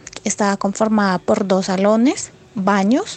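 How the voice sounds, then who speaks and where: An unremarkable speaking voice from a woman, medium in pitch, at a fairly slow pace. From Colombia, Putumayo (Puerto Asís). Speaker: interviewee, rural migrant. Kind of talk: personal testimony.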